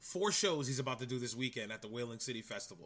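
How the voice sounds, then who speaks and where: A man speaks at medium pitch with a bright, sharp tone that sounds animated and playful. The recording is very clean, with a silent background. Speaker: podcast host. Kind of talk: casual banter. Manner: animated, playful.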